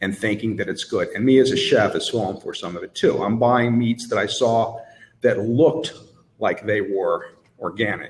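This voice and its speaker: A man's medium-pitched, somewhat breathy voice amid audible room echo. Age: 60s. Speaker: chef, conference panelist. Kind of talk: live panel discussion. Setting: conference stage with audience. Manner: animated.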